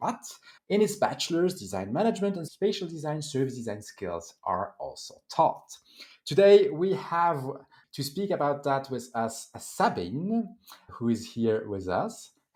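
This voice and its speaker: Speaking fairly slowly with a French accent, a man uses a fairly high pitch that swings very widely. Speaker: event host and moderator. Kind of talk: event moderation and introductions.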